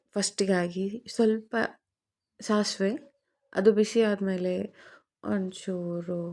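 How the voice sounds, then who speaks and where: Fairly even intonation marks this woman's medium-pitched voice, which has a dark, mellow tone. The recording is very clean, with a silent background. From Andhra Pradesh, India. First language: Telugu (speaking Kannada). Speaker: cooking vlogger. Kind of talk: cooking tutorial.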